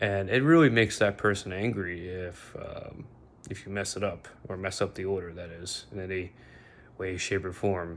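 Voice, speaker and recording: Using a very deep, low pitch, a man talks at a moderate pace with fairly even intonation and big swings in loudness. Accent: American. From Bosnia. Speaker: vlogger. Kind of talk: casual monologue. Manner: halting, many fillers.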